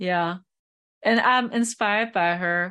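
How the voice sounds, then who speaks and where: A woman with a German accent speaks at a fairly slow pace and medium pitch, with fairly even intonation over a quiet background. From Germany. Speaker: psychic medium. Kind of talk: interview.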